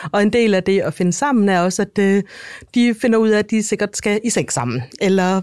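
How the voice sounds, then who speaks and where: In a very clean recording with a silent background, a woman speaks at a medium pitch and fairly slow pace. The sound is dry and close with no echo, and pitch variation is ordinary. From Denmark. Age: 40s. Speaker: author. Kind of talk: interview. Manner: halting.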